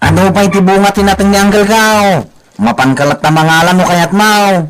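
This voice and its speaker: Using a put-on character voice, a man speaks at a high pitch. His pace is moderate. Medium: audio drama.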